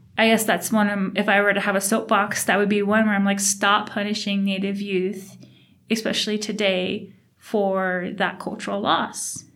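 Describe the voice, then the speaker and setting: This woman talks at a moderate pace in a medium pitch, her intonation flat and monotone. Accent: American. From Navajo, US Southwest. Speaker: oral history interviewee. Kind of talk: personal testimony.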